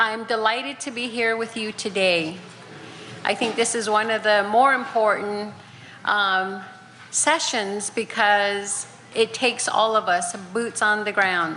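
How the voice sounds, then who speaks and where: Speaking at a fairly slow pace, a woman with a fairly high pitch is heard with an audible room echo and noticeable background noise. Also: fairly even intonation. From Navajo Nation, Four Corners area. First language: Navajo. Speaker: county commissioner. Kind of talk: conference presentation. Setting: conference session with audience.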